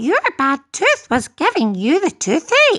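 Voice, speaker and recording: This is a put-on character voice, squeaky and extremely high. It moves along at a fairly slow pace. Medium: read story.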